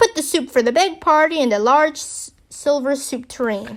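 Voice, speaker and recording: A woman puts on a loud, high-pitched character voice with lively intonation. She talks at a moderate pace in a very clean recording with a silent background. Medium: read story. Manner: loud, brusque.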